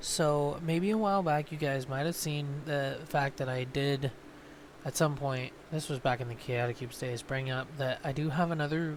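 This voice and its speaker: A man with a fairly high pitch and ordinary pitch variation keeps a moderate pace. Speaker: gaming YouTuber. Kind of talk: casual chat. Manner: hesitant, many ums.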